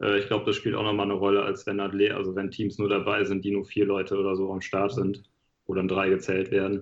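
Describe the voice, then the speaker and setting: The intonation is flat and monotone. Words come at a very fast pace. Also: man, fairly low pitch for a man. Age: 30s. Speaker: triathlete. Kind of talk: casual chat.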